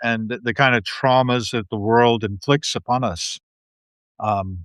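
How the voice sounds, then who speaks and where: A man with a normal speaking voice talks at a fairly slow pace in a medium pitch and fairly even intonation. The recording is very clean with a silent background, the sound dry and close with no echo. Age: 60s. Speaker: podcast host and guest. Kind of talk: casual chat. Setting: live video stream.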